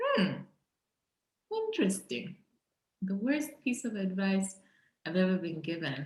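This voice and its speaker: A woman with a medium pitch speaks in a somewhat breathy voice with very wide pitch swings. Her pace is fairly slow, with long, frequent pauses. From Zambia. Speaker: entrepreneur. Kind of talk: interview conversation.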